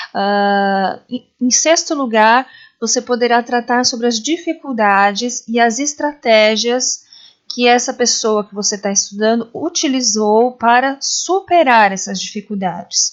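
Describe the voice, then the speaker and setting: With a high pitch and ordinary pitch variation, a woman talks at a fairly slow pace. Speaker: educator presenting a teaching method. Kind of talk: tutorial.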